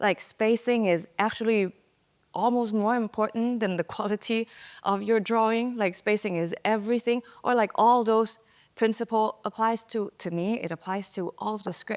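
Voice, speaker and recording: A woman with a Thai accent talks at a moderate pace with fairly even intonation. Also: dry, close sound with no echo. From Thailand. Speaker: type designer. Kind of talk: interview answer.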